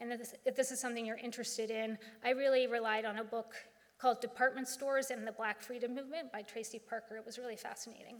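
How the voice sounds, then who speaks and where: A woman's high, monotone, flat voice with an American accent, at a very fast pace with big swings in loudness. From Philadelphia area. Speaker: author. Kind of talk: lecture. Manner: hesitant with fillers.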